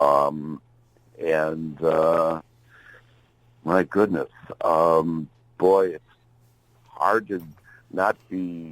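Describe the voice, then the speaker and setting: In a dry, close sound with no echo, a man with an American accent and a very deep, low pitch talks at a very slow pace with long, frequent pauses, fairly even intonation and big swings in loudness. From US Midwest, Chicago. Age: 70s. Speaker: blues musician and songwriter. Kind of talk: interview. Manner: halting, many fillers.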